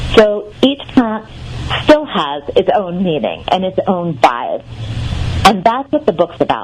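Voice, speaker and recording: A woman speaking at a fairly slow pace over music in the background. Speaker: herbalist and author. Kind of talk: radio interview answer.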